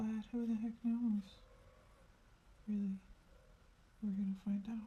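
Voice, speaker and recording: The voice is soft-spoken. The pace is fairly slow. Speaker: artist. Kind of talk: painting tutorial.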